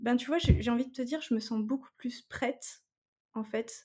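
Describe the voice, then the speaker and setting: Speaking at a fairly slow pace, a woman has a high pitch and a dark, mellow tone. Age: 30s. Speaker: guest sharing fertility journey. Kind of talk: testimony. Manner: hesitant, many fillers.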